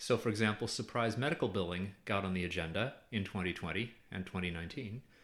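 The voice races along at a very fast pace. Its pitch varies in an ordinary way. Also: man. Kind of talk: explanatory academic discussion.

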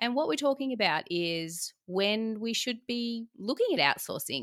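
In a very clean recording with a silent background, a woman speaks in a fairly high voice with very wide pitch swings. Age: 40s. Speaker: podcast host, business profit coach. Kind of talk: scripted podcast intro; interview.

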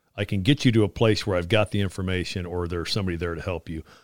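A man with a fairly low pitch speaks at a very fast pace, showing ordinary pitch variation. The recording is very clean, with a silent background. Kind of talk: interview about Army fitness. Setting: studio.

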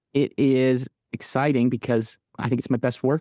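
Against a quiet background, a man with an American accent speaks at medium pitch with a dark, mellow tone and fairly even intonation, the sound dry and close with no echo. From Michigan, Midland. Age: 30s. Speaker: musician. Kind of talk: interview conversation.

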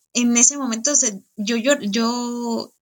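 The speaker is a woman whose voice has a fairly high pitch. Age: 30s. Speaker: coaching client sharing testimony. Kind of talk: testimony. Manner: halting, with frequent repetitions.

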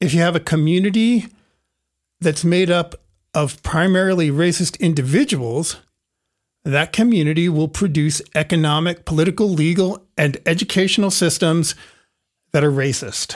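On a very clean recording with a silent background, a man with an American accent speaks at a high pitch and a moderate pace, with ordinary pitch variation, very even loudness, and long, frequent pauses. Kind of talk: casual conversational discussion.

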